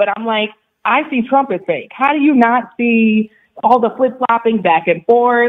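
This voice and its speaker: Fairly high in pitch, a woman speaks at a fairly slow pace. It is a plain, everyday voice with ordinary pitch variation. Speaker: radio show caller. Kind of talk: phone call to radio show.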